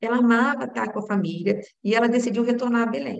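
A woman talks at a moderate pace with fairly even intonation. The room echo is audible. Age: 30s. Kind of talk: sermon-style talk to a women's group.

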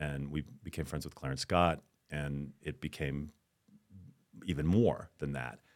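With very deep, low pitch and vocal fry, a man speaks at a moderate pace with fairly even intonation. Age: 50s. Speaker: actor. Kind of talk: casual interview.

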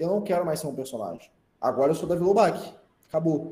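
There is audible room echo around this man's voice. He has a dark, mellow tone and ordinary pitch variation. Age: 20s. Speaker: content creator and marketing consultant. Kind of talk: casual chat.

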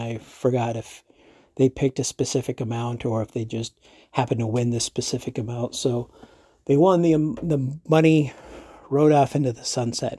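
A man's dark, mellow, somewhat breathy voice at a medium pitch, with an American accent and a dry, close sound with no echo. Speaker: podcast host. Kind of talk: angry rant. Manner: animated, sarcastic.

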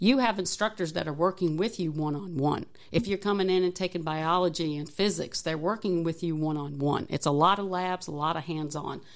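With hardly any pauses, a woman talks at a fairly quick pace in an ordinary speaking voice, fairly low in pitch with ordinary pitch variation. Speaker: engineering technology professor and Navy veteran. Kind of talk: interview.

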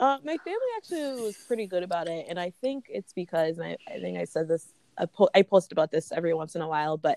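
A woman's fairly low voice, a plain, everyday voice, at a moderate pace with ordinary pitch variation and a dry, close sound with no echo. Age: 30s. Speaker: social media creator. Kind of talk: casual interview.

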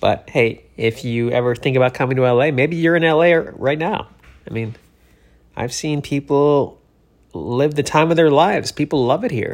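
Using a plain, everyday voice, a man talks at a moderate pace in a fairly high pitch with ordinary pitch variation. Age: 40s. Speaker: comedian and podcast host. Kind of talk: casual monologue. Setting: Los Angeles, cleaning out his place.

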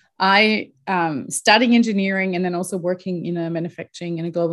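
On a very clean recording with a silent background, a woman speaks with a German accent in a fairly low pitch with fairly even intonation. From Germany. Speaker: leadership coach. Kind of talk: interview. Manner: hesitant with fillers.

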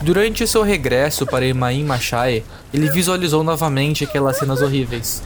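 Music plays in the background as the speech goes at a moderate pace. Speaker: storyteller narrating a fantasy tale. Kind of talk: scripted mythic storytelling, epic fantasy narration read aloud. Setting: audio story meant for headphones. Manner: dramatic, intense, building tension in a vivid, grave tone; measured, solemn, with short punchy sentences in battle.

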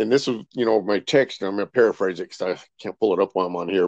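A man speaks at a fairly quick pace in an ordinary speaking voice, with an American accent and a fairly low pitch. The pitch variation is ordinary, and the sound is dry and close with no echo against a quiet background. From California, Rancho Cucamonga. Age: 60s. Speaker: insurance consultant and army veteran. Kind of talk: casual interview.

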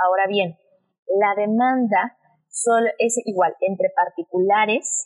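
A woman's fairly high voice at a very slow pace, ordinary pitch variation, dry and close with no echo. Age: 20s. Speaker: lawyer. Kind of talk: explanatory interview.

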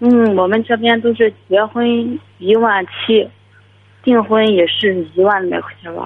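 A woman's ordinary speaking voice, fairly high in pitch, with fairly even intonation, a fairly slow pace, and big swings in loudness. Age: 20s. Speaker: caller. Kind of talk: phone-in advice call. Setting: phone call.

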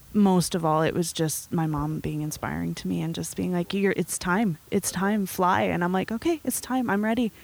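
With a Canadian accent and a plain, everyday voice, a woman speaks at a moderate pace with fairly low pitch. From Nelson, British Columbia, Canada. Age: 20s. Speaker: coffee shop owner. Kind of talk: interview.

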